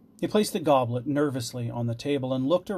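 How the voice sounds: The reading voice sounds natural.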